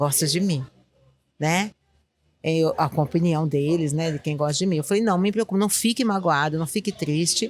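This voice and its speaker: Lively in intonation yet very deep and low in pitch, a woman speaks at a moderate pace on a very clean recording with a silent background. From Northeast Brazil, Recife. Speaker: school principal. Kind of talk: interview conversation. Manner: calm; halting, many repetitions.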